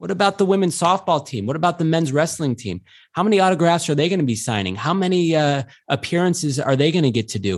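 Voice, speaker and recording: Against a quiet background, a man speaks in a high pitch with lively intonation. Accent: American. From upstate New York. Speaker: radio host. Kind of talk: casual chat. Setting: video call.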